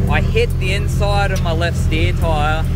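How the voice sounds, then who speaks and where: A man's voice in a dry sound with no echo, against loud background noise. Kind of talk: casual vlog chat. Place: street. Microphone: phone near.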